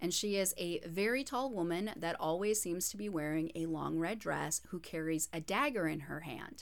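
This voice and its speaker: A woman with a plain, everyday voice at a moderate pace. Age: 30s. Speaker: podcast co-host and radio host. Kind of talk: casual chat with storytelling.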